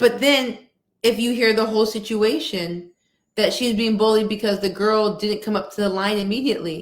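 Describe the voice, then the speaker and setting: A woman speaks in a plain, everyday voice at a fairly high pitch. Her pace is fairly quick, with ordinary pitch variation. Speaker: workshop speaker on coaching and equity. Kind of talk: interview-style webinar talk.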